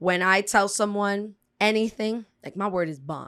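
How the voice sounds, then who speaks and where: A woman with an American accent speaks at a fairly slow pace with ordinary pitch variation, on a very clean recording with a silent background. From South Florida (Broward), Dominican family. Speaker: poet and host. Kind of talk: casual interview chat.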